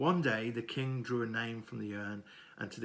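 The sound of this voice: The delivery is an unforced reading voice. The intonation is fairly even throughout.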